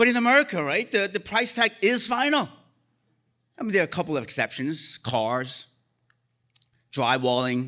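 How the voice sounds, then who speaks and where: A man's raised, projected voice in a Korean accent, high in pitch and bright and sharp in tone, with very wide pitch swings and long, frequent pauses, on a very clean recording with a silent background. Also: moderate pace. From Korea, moved to US as a child. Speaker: storyteller. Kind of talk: live storytelling. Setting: stage with audience.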